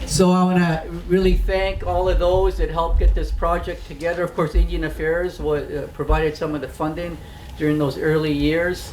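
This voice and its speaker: The speech moves at a moderate pace with audible room echo. Noticeable background noise runs underneath. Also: man. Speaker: First Nations band leader. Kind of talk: ceremonial speech.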